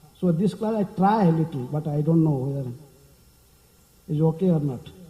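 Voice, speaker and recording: The pace here is fairly quick. A man talks with ordinary pitch variation. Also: fairly high pitch for a man. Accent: Indian. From India. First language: not English. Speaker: monk lecturer. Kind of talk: lecture. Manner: fast; hesitant fillers.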